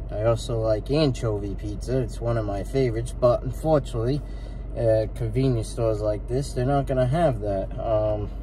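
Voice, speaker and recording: A man speaking at a moderate pace over light background noise. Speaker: food reviewer. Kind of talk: casual food review vlog. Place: car. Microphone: phone near.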